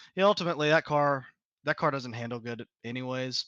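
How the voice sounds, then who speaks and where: The speaker has a Southern US accent and a bright, sharp tone, talking at a fairly quick pace with ordinary pitch variation. The sound is dry and close with no echo against a quiet background. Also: man. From US South, south Georgia. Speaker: sim racing driver. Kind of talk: post-race interview. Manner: casual, laid-back.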